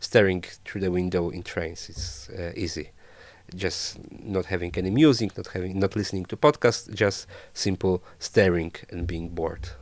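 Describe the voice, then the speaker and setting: A Polish accent with ordinary pitch variation, on a very clean recording with a silent background. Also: man, very deep, low pitch for a man, moderate pace. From Poland. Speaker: traveler and photographer. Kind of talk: casual interview chat. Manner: halting, many fillers.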